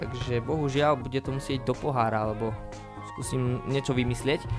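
Clear music in the background accompanies a man speaking at a moderate pace. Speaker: home video creator. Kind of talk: casual unboxing vlog chat. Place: home room. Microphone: studio mic.

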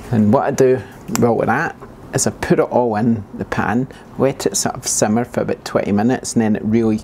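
A man is speaking. There is light background noise. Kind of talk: casual cooking tutorial. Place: kitchen.

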